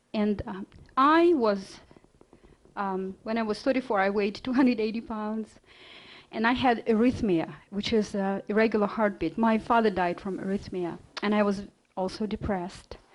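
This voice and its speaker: Speaking at a moderate pace with a Russian accent, a woman uses a fairly high pitch and ordinary pitch variation. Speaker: health author and speaker. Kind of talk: lecture. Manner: halting, many fillers.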